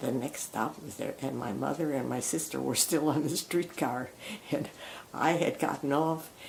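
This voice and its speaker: A woman with an American accent speaks at a fairly slow pace. Noticeable background noise is present. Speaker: retired nurse. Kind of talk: oral history reminiscence.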